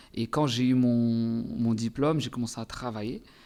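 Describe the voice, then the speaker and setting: Music plays behind a man speaking at a medium pitch. His intonation stays fairly even. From Comoros, Anjouan island. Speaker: singer. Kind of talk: interview. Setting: studio.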